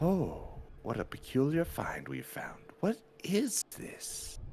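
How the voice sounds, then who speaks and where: A man puts on a character voice pitched high. He talks at a fairly slow pace. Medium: actual play.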